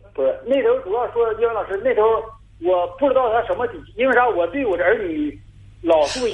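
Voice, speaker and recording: A man's fairly quick speech broken by long, frequent pauses. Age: 40s. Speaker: caller. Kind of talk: phone-in advice call. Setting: phone call. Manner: halting.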